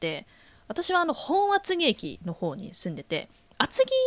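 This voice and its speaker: A high-pitched woman's voice with very wide pitch swings, at a fairly slow pace, dry and close with no echo. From Kanagawa, Atsugi. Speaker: podcast co-host. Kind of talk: casual chat. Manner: laughs often.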